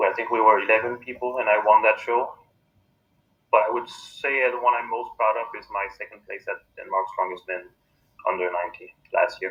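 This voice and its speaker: A man with a French accent at a fairly quick pace. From Quebec, Canada. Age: 30s. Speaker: strongman athlete. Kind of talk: interview.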